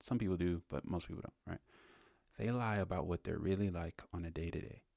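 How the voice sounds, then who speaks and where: A man whispers quietly in a dry, close sound with no echo. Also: fairly quick pace, very clean recording, silent background. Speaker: business podcast host. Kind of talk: casual podcast monologue. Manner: quiet, near whisper; casual, filler-heavy.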